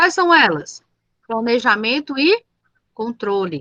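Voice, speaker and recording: A raised, projected voice with a bright, sharp tone, recorded dry and close with no echo. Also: woman. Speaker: teacher. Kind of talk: lecture.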